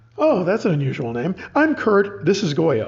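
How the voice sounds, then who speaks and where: Using a put-on character voice, a man speaks at a moderate pace with a high pitch and very wide pitch swings. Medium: read story.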